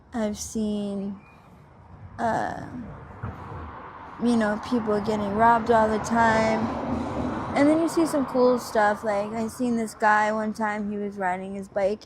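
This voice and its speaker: A woman with a Philadelphia accent at a fairly slow pace, long and frequent pauses, audible room echo and noticeable background noise. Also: fairly even intonation. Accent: Philadelphia-area American. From Pennsylvania, Montgomery County. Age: 30s. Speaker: interviewee, person living on the street. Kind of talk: interview. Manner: halting, many fillers.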